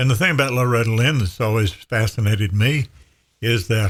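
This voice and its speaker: Speech comes at a moderate pace in a somewhat breathy voice. The pitch varies in an ordinary way. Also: man. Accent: American. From Western North Carolina. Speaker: radio broadcaster. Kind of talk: podcast conversation.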